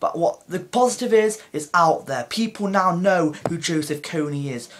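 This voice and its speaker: Lively intonation marks a man's high-pitched speech, with noticeable background noise present. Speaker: YouTuber. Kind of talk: opinion vlog. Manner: halting.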